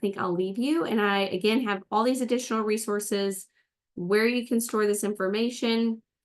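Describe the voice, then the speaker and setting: A normal speaking voice from a woman at fairly high pitch, moderate pace, fairly even intonation and very even loudness, against a quiet background. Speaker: presenter of a webinar on estate organizing. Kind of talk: webinar presentation.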